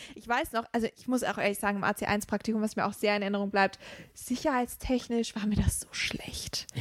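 A woman's fairly high pitch, fairly quick pace, fairly even intonation and big swings in loudness, in an ordinary speaking voice. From Rhineland, Germany. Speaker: trainee teacher. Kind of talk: casual chat.

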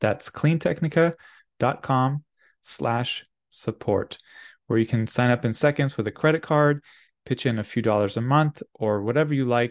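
In an ordinary speaking voice, a man talks at a fairly slow pace and medium pitch with ordinary pitch variation, recorded dry and close with no echo against a quiet background. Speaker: podcast host and clean tech media CEO. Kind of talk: interview.

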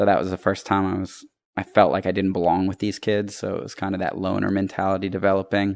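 Over a quiet background, a man with an American accent speaks at a very fast pace in a very deep, low pitch with monotone, flat intonation. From Virginia. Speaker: podcast guest. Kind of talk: casual chat.

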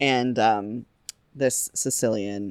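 The sound is close and dry, without any echo. The speaker is a woman. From Saint Louis, US Midwest. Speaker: guest with PowerPoint presentation. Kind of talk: casual chat.

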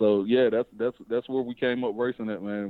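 A man talks at a fairly quick pace with a Southern US accent. His intonation is monotone and flat. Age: young. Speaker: drag racer and race promoter. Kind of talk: interview. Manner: casual.

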